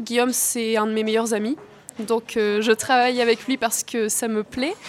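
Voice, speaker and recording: Noticeable background noise sits behind a woman's voice. Her pitch is fairly high, and her intonation fairly even. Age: 20s. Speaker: actress and student. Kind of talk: interview. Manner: hesitant with fillers.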